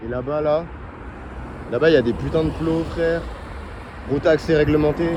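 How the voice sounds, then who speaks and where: Over noticeable background noise, a man with a fairly high pitch and an animated tone speaks at a fairly quick pace. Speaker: vlogger. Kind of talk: vlog narration to camera. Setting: outdoors by a road at night. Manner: casual, animated.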